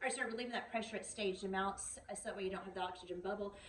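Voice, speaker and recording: With a Southern US accent, a woman speaks at medium pitch amid noticeable background noise and audible room echo. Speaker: high school chemistry teacher. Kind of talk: recorded video lecture. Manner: fast.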